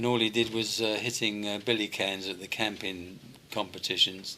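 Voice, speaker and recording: A man speaks with a London accent at a fairly low pitch. His intonation is flat and monotone over noticeable background noise. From London (West Hampstead), England. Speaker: retired rock and roll singer. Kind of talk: interview.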